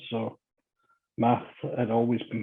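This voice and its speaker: With a Scottish accent, a man talks at a medium pitch in a monotone, flat intonation. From Scotland, Glasgow area. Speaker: construction executive. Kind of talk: interview.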